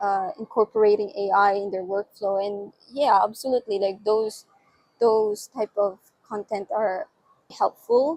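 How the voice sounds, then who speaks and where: With a non-native accent, a woman talks at a fairly slow pace and a medium pitch with fairly even intonation, in a dry, close sound with no echo. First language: not English. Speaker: UI/UX designer and vlogger. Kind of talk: casual vlog monologue. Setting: outdoors on a balcony at night. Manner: hesitant, many fillers and restarts.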